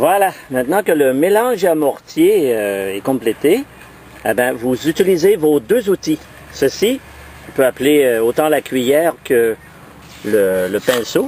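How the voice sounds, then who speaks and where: A man talks at a very slow pace with long, frequent pauses and very wide pitch swings in a fairly high voice. His loudness is very even, and there is noticeable background noise. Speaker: amateur DIY video maker. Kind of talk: tutorial. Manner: halting, many fillers and repeats.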